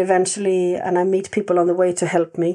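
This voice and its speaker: A woman with a dark, mellow tone is heard against a quiet background. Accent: Swedish. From Sweden. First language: Swedish. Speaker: animal communicator and sanctuary owner. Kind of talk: interview.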